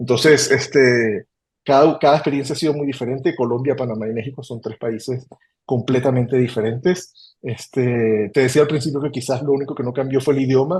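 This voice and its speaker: A man speaks at a fairly quick pace in a somewhat breathy, medium-pitched voice with fairly even intonation. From Venezuela, Caracas. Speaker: human resources executive. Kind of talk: interview. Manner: hesitant with fillers.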